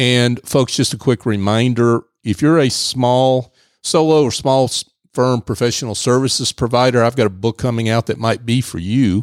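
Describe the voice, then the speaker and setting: A man with an unremarkable speaking voice at medium pitch, fairly even intonation and very even loudness, moderate pace, dry and close with no echo, on a very clean recording with a silent background. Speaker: radio host. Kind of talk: radio interview. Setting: studio.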